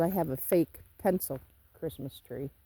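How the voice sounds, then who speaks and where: Speaking fairly slowly with an American accent, a woman uses lively intonation in a fairly low voice with a dark, mellow tone. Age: 60s. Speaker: homesteader vlogger. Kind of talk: casual vlog talk to camera.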